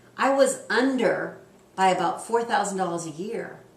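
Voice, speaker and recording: Noticeable background noise and audible room echo surround a woman's voice. Her pitch varies in an ordinary way. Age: 60s. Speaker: public relations consultant and homeowner. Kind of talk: interview.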